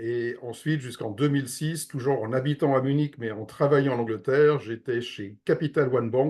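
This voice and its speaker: A man with an unremarkable speaking voice, medium pitch, fairly even intonation, moderate pace and hardly any pauses. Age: 60s. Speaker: real estate investment advisor. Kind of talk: interview.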